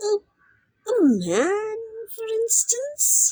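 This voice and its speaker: Using a put-on character voice, a woman speaks in an extremely high pitch with lively intonation. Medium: read story.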